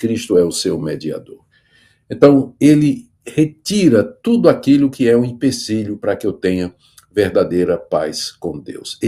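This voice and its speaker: Here a man talks with a northeastern Brazilian accent. His pace is fairly slow. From northeast Brazil. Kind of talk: preaching.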